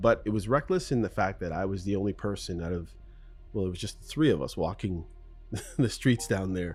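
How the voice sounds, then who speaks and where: Over music in the background, a speaker with a Canadian accent moves at a fairly quick pace with ordinary pitch variation. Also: man. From Canada, Jamaican parents. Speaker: podcast host. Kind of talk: solo podcast Q&A monologue. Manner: casual, with many fillers.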